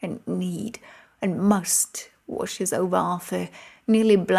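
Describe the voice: Someone does plain reading aloud here.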